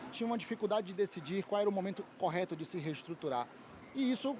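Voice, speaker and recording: A man's high pitch at a very fast pace with lively intonation. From Brazil, Bahia (Salvador). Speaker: lawyer and business trainer. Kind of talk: interview. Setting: trade fair stand.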